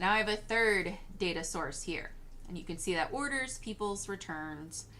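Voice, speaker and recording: This woman's medium-pitched voice has a bright, sharp tone, moving at a moderate pace with audible room echo. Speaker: software tutorial creator. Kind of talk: screen-recorded tutorial.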